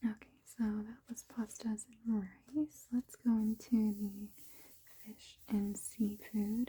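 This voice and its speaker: Soft-spoken and somewhat breathy, a woman with a fairly high pitch and dark, mellow tone speaks very slowly in a monotone, flat intonation. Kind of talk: ASMR cookbook browsing ramble.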